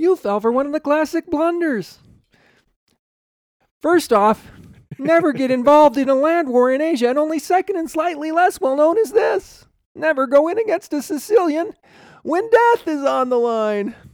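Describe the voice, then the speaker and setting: Putting on a character voice at extremely high pitch, the man speaks with long, frequent pauses. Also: moderate pace. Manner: smug, pompous.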